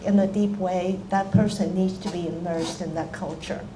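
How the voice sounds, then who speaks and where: A woman talks in a monotone, flat way with an American accent. Noticeable background noise and audible room echo fill the recording. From China, Hong Kong and Taiwan, then Washington DC. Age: 80s+. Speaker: author and retired language professor. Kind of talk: public talk.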